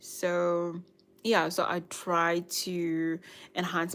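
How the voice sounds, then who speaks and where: In a very clean recording with a silent background, a woman with a slight South African accent speaks at a fairly low pitch. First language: Nguni (Zulu/Swati). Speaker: YouTuber, lifestyle and budgeting vlogger. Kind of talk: casual livestream chat. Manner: hesitant, many fillers.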